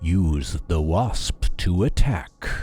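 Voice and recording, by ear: A man's put-on character voice, very deep and low in pitch.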